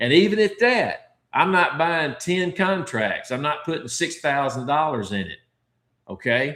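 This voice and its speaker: Fairly high-pitched for a man, this voice has a bright, sharp tone, vocal fry and very wide pitch swings. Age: 60s. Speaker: stock trading educator. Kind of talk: livestream Q and A tutorial. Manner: casual, conversational with filler words.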